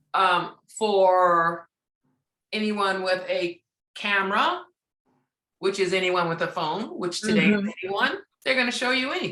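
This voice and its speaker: Moderate pace with ordinary pitch variation and long, frequent pauses. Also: woman, medium pitch for a woman. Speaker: radio host. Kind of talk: interview answer. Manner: soft-spoken, direct; positive, encouraging.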